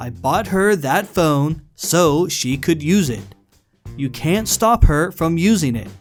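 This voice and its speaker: A man's fairly high voice at a very slow pace, with very wide pitch swings and music in the background. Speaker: reddit story narrator. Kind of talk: reddit story reading.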